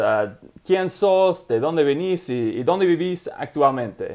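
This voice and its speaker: Here is a man with an English accent and a fairly high voice. His intonation is lively. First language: English (speaking Spanish). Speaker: language learning channel host. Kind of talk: interview. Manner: halting.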